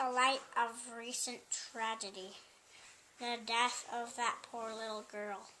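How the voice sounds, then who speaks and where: Using a put-on character voice, a woman speaks at a fairly high pitch with monotone, flat intonation. Her pace is fairly slow, with long, frequent pauses. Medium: read story. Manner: kindly.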